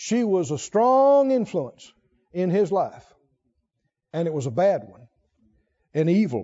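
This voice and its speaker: Speaking slowly with long, frequent pauses, a man in a high pitch makes very wide pitch swings and big swings in loudness. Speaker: preacher. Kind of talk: sermon, Bible teaching to a congregation. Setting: church. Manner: warm, fervent, with laughter and praise.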